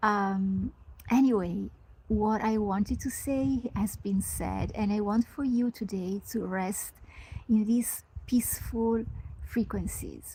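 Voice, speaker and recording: With an Italian accent, the speaker keeps a calm tone at a very slow pace. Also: woman. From Italy. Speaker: spiritual mentor. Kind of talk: live stream talk. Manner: hesitant fillers.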